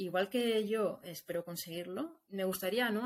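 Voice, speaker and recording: A woman at a medium pitch speaks at a moderate pace with ordinary pitch variation. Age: 40s. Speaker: industrial designer turned entrepreneur. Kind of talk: interview testimony. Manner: halting, with many repetitions.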